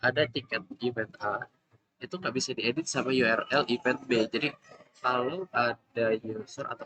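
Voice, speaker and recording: Soft-spoken and at a moderate pace, a man talks at medium pitch with ordinary pitch variation, in a dry, close sound with no echo. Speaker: student presenting coursework. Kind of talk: class project presentation. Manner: halting.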